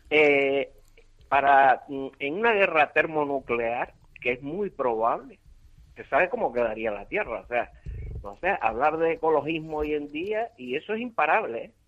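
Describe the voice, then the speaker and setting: Using an unremarkable speaking voice, a man with a fairly high pitch talks at a fairly slow pace with lively intonation. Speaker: caller, hospital lab technician. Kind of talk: phone-in call. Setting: phone call.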